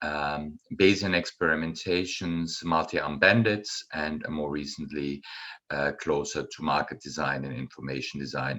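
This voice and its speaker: At a fairly slow pace, a man with a German accent speaks in a very deep, low pitch with vocal fry and ordinary pitch variation. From Germany, Bonn area. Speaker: professor. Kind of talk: lecture. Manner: halting, many fillers.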